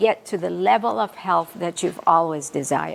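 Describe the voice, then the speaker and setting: Her voice swings very widely in pitch over noticeable background noise. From Asia. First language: a right-to-left script language, not English. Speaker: nutrition lecturer. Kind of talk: lecture. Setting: live talk with audience. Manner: occasional self-corrections and word slips.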